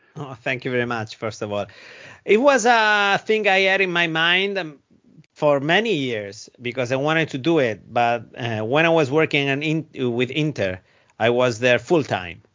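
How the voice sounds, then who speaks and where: Here a man talks in an Italian accent at a moderate pace. His fairly high pitch makes very wide swings. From Italy. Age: 30s. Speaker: football commentator. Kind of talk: interview. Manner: halting.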